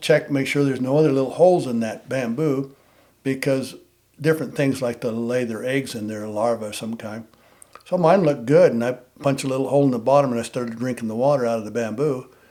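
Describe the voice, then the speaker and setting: A man with an American accent talks at a very fast pace in a dark, mellow tone, with a medium pitch and ordinary pitch variation. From Nevada. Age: 70s. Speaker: bowhunter and war veteran. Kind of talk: casual interview. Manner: halting.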